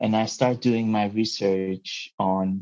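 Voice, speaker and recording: A man speaks with a dark, mellow tone. His intonation is fairly even. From Mozambique and Portugal. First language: Portuguese. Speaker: marine researcher. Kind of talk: interview. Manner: halting, many fillers.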